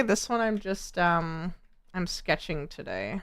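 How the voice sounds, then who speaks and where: Bright, sharp tone from a woman with an American accent, in a very clean recording with a silent background. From United States. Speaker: artist streamer. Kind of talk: casual chat. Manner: stuttering.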